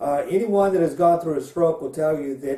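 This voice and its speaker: This man's voice has a dark, mellow tone, a fairly high pitch and fairly even intonation. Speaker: pastor. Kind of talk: personal testimony. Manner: halting, with fillers.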